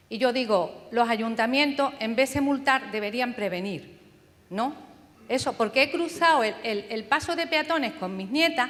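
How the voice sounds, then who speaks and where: Noticeable background noise runs beneath a woman's voice. She speaks at a moderate pace with lively intonation. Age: 70s. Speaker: audience member. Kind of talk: audience question.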